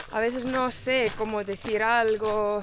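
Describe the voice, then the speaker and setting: Her intonation fairly even, this woman talks very slowly at a fairly high pitch. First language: not Spanish; English-speaking (speaking Spanish). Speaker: travel vlogger. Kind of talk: casual chat. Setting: outdoors. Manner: halting.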